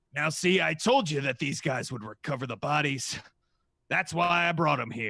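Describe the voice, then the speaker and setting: A man's put-on character voice, raspy and fairly high-pitched, at a moderate pace. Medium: actual play. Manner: hearty, showy.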